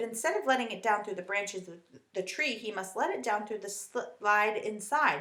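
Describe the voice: The speaker is plainly reading aloud. Pitch varies in an ordinary way.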